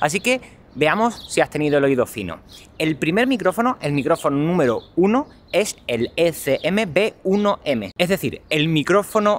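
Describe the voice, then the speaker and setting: This man has an Andalusian accent and an animated tone, with very wide pitch swings. He talks at a moderate pace, and the sound is dry and close with no echo. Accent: Andalusian (Cádiz). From southern Spain, Cádiz. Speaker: tech vlogger. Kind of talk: vlog product review. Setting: outdoors walking, then cafe.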